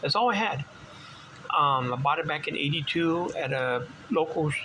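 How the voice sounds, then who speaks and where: A man keeps a moderate pace and ordinary pitch variation while noticeable background noise runs underneath. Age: 60s. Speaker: vintage bike collector. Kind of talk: casual show-and-tell video. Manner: halting, many fillers.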